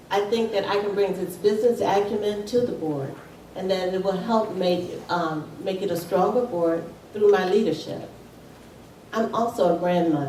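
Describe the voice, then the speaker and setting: Amid noticeable background noise and audible room echo, a woman talks at a moderate pace with medium pitch and ordinary pitch variation. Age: 50s. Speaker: school board candidate. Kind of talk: candidate debate.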